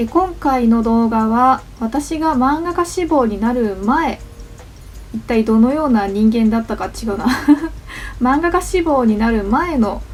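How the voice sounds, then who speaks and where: A woman speaks at a fairly slow pace with a fairly high pitch and lively intonation. Music plays in the background. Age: 30s. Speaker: manga artist. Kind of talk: casual talk to camera.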